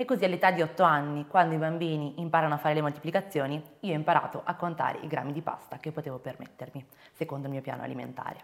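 A woman with a very deep, low pitch, a very fast pace, ordinary pitch variation and big swings in loudness. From Venice, Italy. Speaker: eating disorder awareness content creator. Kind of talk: interview testimony.

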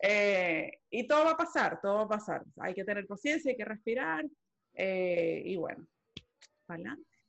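A woman's medium-pitched voice with very wide pitch swings and long, frequent pauses. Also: moderate pace. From Venezuela. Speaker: podcast co-host. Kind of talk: casual chat.

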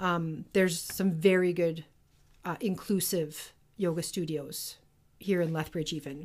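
In a normal speaking voice, a woman with a fairly low pitch speaks at a fairly slow pace with fairly even intonation, in a very clean recording with a silent background. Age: 40s. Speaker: podcast co-host. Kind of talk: casual chat.

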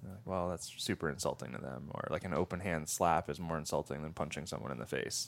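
A man with an American accent and a very deep, low pitch talks at a very fast pace with hardly any pauses, vocal fry and ordinary pitch variation. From upstate New York. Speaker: former army ranger and firearms trainer. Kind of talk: casual interview chat.

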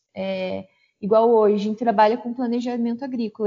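This woman has an unremarkable speaking voice, fairly high in pitch, with ordinary pitch variation at a moderate pace. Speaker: forestry engineer and consultant. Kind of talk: interview.

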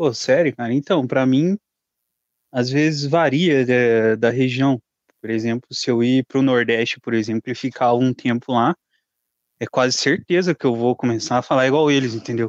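Recorded with a dry, close sound and no echo, a man of medium pitch speaks at a moderate pace with ordinary pitch variation. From Curitiba, southern Brazil. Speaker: guest, warehouse worker. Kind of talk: casual chat.

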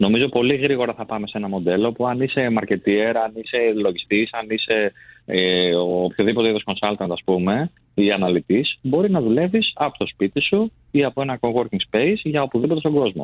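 A man talks at medium pitch and a moderate pace. He has an ordinary speaking voice with lively intonation. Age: young. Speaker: recruitment business executive. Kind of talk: radio studio discussion. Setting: radio studio.

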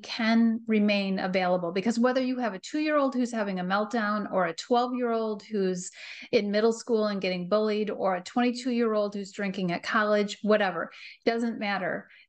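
A woman talks in an unremarkable speaking voice, pitched fairly high, with fairly even intonation. The background is quiet. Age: 50s. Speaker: parenting coach. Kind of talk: casual chat.

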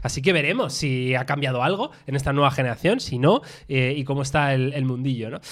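Over a very clean recording with a silent background, a man with a normal speaking voice talks at a fairly quick pace, his fairly high pitch held in fairly even intonation. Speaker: tech podcast host. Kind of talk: casual chat. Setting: studio, streamed live on video.

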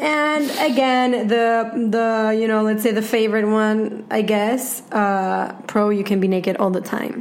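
A woman with a Spanish accent, fairly high in pitch, at a fairly slow pace with hardly any pauses, fairly even intonation and very even loudness, amid noticeable background noise and audible room echo. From Venezuela. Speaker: podcast co-host. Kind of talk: casual chat.

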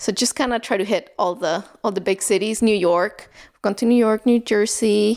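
A woman with a Salvadoran accent at a moderate pace, with ordinary pitch variation, on a very clean recording with a silent background. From El Salvador. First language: Spanish. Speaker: new mother and neighbor. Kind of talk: casual interview. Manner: frequent fillers and laughter.

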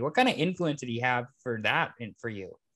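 The background is quiet as a man talks fairly quickly. He has an unremarkable speaking voice with lively intonation. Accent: American. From Everett, Washington, US. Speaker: podcast host. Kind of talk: casual chat.

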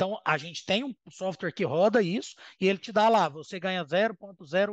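A high-pitched man speaks at a very slow pace. The background is quiet, and the sound is dry and close with no echo. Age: 30s. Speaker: professional poker player. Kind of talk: casual chat.

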